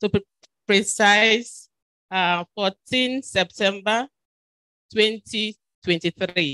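Against a quiet background, a woman speaks at a very slow pace with long, frequent pauses. Her medium-pitched voice is bright and sharp, with ordinary pitch variation. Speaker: event moderator, university official; event moderator. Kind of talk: formal event moderation. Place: hall. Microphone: handheld.

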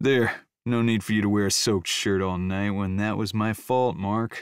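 This put-on character voice rumbles along at a moderate pace, monotone and flat in intonation, its loudness very even, on a very clean recording with a silent background. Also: man, fairly low pitch for a man. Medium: read story. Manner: confident, charming.

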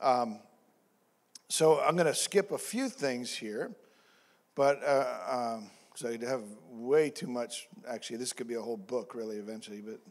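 At a moderate pace, a man with a medium-pitched voice and ordinary pitch variation pauses long and often, his loudness swinging widely. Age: 50s. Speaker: pastor. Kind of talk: sermon. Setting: church. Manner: halting, many fillers and repeats. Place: church. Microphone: handheld.

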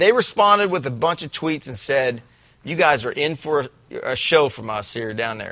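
A man talks at a moderate pace and fairly high pitch, his voice swinging very widely in pitch. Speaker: high school football show host. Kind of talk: casual sports talk.

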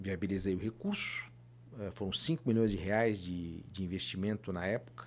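The pace is moderate. Light background noise is present. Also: man, fairly low pitch for a man. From Florianópolis, Santa Catarina, Brazil; Santa Catarina, Brazil. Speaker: former mayor. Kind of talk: casual interview. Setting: studio. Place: studio. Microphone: studio mic.

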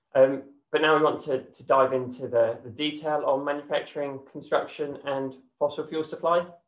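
Against a quiet background with audible room echo, a man speaks in a flat monotone at a moderate pace. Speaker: presenter. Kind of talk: presentation. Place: home room. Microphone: webcam.

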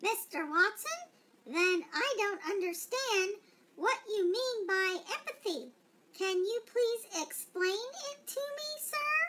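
A female-sounding put-on character voice speaks at a fairly slow pace in an extremely high pitch. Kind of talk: customer service phone greeting.

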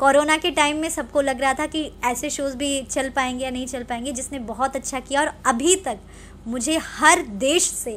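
Light background noise sits behind a woman speaking at a fairly slow pace. Her voice is high-pitched, with fairly even intonation. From Lucknow, Uttar Pradesh, India; Uttar Pradesh. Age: 20s. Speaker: film and TV actress; TV actress. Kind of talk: interview. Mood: friendly, smiling. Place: home room. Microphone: handheld.

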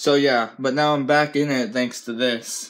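A fairly slow speaker with an American accent. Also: man. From United States. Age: 20s. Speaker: gaming YouTuber. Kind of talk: casual vlog. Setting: at home, on camera. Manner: casual, relaxed. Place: home room. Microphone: phone near.

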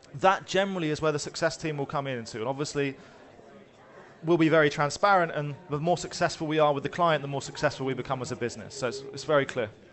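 Very fast speech from a man, light background noise behind it. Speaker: conference speaker, head of customer success. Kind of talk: business presentation. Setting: stage. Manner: fast talker. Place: hall.

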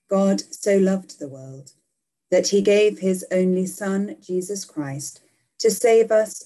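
Over a quiet background, a woman talks at a very slow pace in a dark, mellow tone. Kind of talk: liturgical prayer reading. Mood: calm, solemn. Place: home room. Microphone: webcam.

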